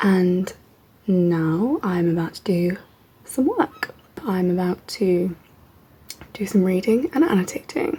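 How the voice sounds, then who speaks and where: A woman speaks at a very slow pace and medium pitch, with long, frequent pauses. Noticeable background noise can be heard. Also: ordinary pitch variation. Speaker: PhD student vlogger. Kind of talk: vlog. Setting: at home.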